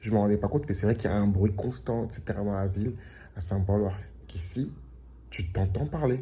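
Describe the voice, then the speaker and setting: A dark, mellow, somewhat breathy tone at a fairly quick pace. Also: man, fairly low pitch for a man, ordinary pitch variation. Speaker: vlogger. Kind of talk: casual vlog. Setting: at home by the beach. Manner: casual with fillers.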